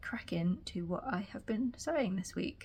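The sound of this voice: Her tone is slightly mellow. The woman's intonation is lively.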